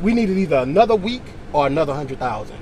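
A man talks at a very fast pace with lively intonation. The sound is dry with no echo, over light background noise. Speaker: candidate. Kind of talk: casual conversation. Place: car. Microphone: camera far.

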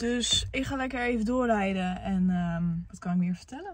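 The speaker is a woman at a moderate pace. The sound is dry with no echo. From Netherlands, Amersfoort. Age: 20s. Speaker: influencer vlogger. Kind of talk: presentation to a class; casual vlog talk.

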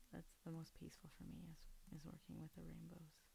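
The speaker is soft-spoken, with light background noise. The sound is dry, with no echo. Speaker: ASMR creator. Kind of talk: ASMR soft-spoken talk while doing a puzzle. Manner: soft-spoken, quiet. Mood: calm, relaxed, soft-spoken. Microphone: studio mic.

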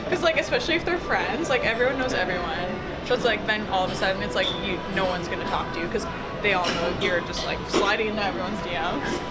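A woman talks at a very fast pace. Loud music plays in the background. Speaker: interviewee. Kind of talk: interview answer. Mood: playful, laughing. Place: gym. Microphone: camera far.

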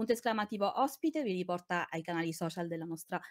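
A woman races along at a very fast pace with lively intonation, the sound dry with no echo and the background quiet. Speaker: co-host and chat moderator. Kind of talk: casual live-stream chat. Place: home room.

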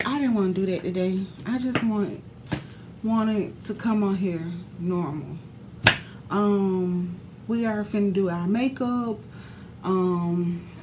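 Over noticeable background noise, a woman talks at a very slow pace with long, frequent pauses and very even loudness. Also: ordinary pitch variation. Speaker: beauty vlogger. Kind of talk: casual vlog chat. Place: home room. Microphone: phone near.

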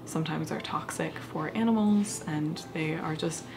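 A woman speaks at a very deep, low pitch. Noticeable background noise sits behind her. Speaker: crafting vlogger. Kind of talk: casual vlog chat. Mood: thoughtful, slightly unsure. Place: home room.

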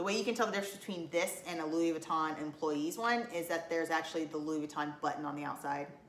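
A woman talks at a very fast pace with hardly any pauses, her pitch fairly low with ordinary variation. Audible room echo and light background noise sit behind her voice. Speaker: collection vlogger. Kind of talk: casual vlog chat. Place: home room. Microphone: camera far.

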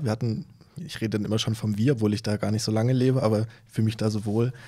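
A man talks at a very fast pace in a dark, mellow tone. His intonation is fairly even, and the background is quiet. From Saxony (Kamenz, Upper Lusatia); Saxony. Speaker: novelist; podcast guest. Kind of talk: conversational interview. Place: studio. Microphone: studio mic.

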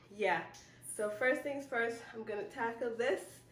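A woman speaks at a moderate pace with audible room echo. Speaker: home organizing vlogger. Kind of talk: casual vlog chat. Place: home room. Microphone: camera far.

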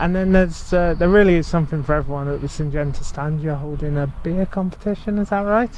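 With hardly any pauses, a man with a high pitch talks at a very fast pace, in a dry sound with no echo and light background noise. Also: ordinary pitch variation. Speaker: agricultural media interviewer. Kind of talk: interview. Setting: outdoors. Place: farm.

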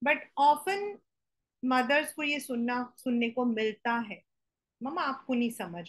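Against a quiet background, a woman with a high pitch speaks at a moderate pace with lively intonation and big swings in loudness. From India. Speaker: teacher. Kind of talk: lecture. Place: home room. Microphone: webcam.

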